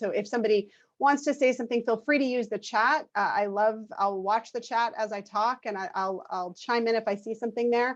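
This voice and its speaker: Against a quiet background, a woman speaks in a fairly high voice with ordinary pitch variation. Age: 40s. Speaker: clinical nurse specialist. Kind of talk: lecture. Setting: video call. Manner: fast.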